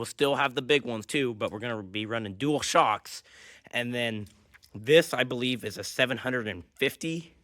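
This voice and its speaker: The man's voice is medium-pitched with a bright, sharp tone. He speaks at a moderate pace with ordinary pitch variation. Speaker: DIY vehicle builder. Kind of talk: workshop build tutorial. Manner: casual, frequent uh fillers.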